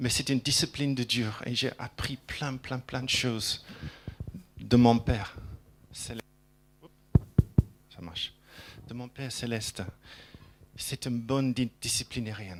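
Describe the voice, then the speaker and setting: Speaking with a slight English accent, a man at a medium pitch moves at a fairly slow pace with long, frequent pauses, fairly even intonation and big swings in loudness. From England. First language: English (speaking French). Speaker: preacher. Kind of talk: sermon. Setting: church. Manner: halting, repeats words.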